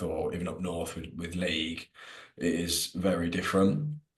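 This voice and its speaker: This man speaks with a West Midlands accent. His voice is very deep and low, with fairly even intonation. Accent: local West Midlands. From English West Midlands. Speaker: rugby content creator. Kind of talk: casual podcast interview. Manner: casual, hesitant with fillers.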